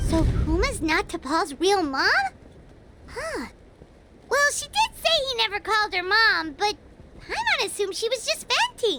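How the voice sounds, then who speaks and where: Someone uses a put-on character voice at an extremely high pitch. The pace is moderate, broken by long, frequent pauses. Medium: video game. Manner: casual, chatty.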